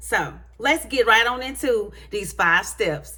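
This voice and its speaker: A woman's fairly high, bright and sharp voice with an animated tone and audible room echo. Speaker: motivational vlogger. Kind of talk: motivational talk to camera. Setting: hallway at home. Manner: animated, high energy.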